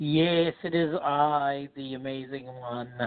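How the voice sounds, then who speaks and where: Pitched low-to-middle, a put-on character voice moves along at a fairly slow pace. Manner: booming, grandiose.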